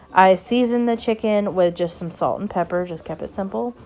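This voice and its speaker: In a Southern US accent, a woman at a medium pitch talks at a fairly quick pace with ordinary pitch variation. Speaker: cooking vlogger. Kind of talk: casual cooking narration.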